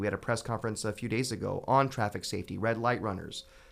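In an American accent, a man of medium pitch talks very fast with fairly even intonation. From US West, Fresno, California. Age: 30s. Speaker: city councilmember. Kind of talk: radio interview.

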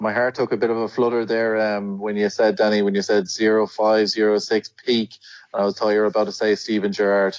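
Monotone, flat delivery at a fairly quick pace. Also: man, fairly low pitch for a man. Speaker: podcast host. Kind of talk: casual interview chat.

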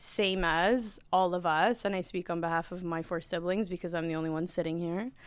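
With a Canadian accent and an unremarkable speaking voice, a woman talks at a fairly quick pace in a fairly low pitch and fairly even intonation. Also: hardly any pauses, very clean recording, silent background. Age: 30s. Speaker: sales director. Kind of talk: casual chat. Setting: company boardroom.

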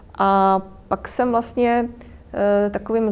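Monotone and flat in intonation, a woman speaks at a medium pitch. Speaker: lawyer and freelance business consultant. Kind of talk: guest talk. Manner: frequent hesitations.

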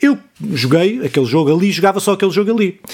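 A man speaks fairly quickly in a European Portuguese accent. His high pitch moves in very wide swings. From Portugal, Ribatejo. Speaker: podcast host. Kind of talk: casual chat.

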